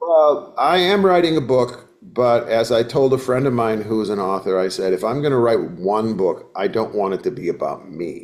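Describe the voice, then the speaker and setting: With an American accent, a man of medium pitch speaks at a moderate pace with very wide pitch swings and hardly any pauses. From US Midwest, northern Wisconsin. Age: 70s. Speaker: folk singer-songwriter. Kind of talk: casual interview chat.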